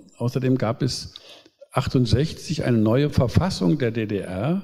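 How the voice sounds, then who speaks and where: Somewhat breathy, a man's medium-pitched voice carries a dark, mellow tone and lively intonation. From East Germany. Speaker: pastor and politician. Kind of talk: public talk.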